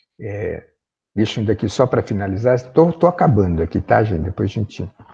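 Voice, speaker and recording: A man's dark, mellow voice, fairly low in pitch and somewhat breathy, with ordinary pitch variation at a moderate pace, in a dry, close recording with no echo. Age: 60s. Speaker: professor. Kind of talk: lecture. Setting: video call.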